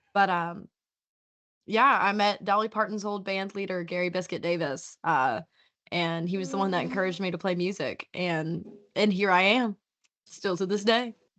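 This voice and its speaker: A woman with a Southern accent speaks at a moderate pace in a medium pitch with ordinary pitch variation, over a quiet background. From US South, Southwest Virginia (Appalachia). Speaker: musician. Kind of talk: interview.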